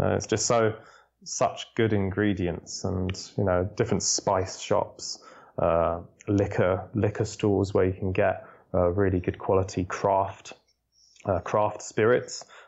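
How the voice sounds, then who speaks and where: With a London accent, this man talks at a fairly slow pace in a flat monotone, his loudness staying very even throughout. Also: fairly low pitch for a man. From London, England. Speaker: food tour guide. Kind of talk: interview.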